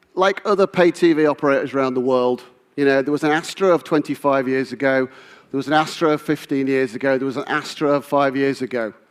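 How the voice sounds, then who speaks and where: With a British accent, the speaker talks at a very fast pace with hardly any pauses and fairly even intonation. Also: man, fairly high pitch for a man. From UK. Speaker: business executive. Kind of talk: keynote speech.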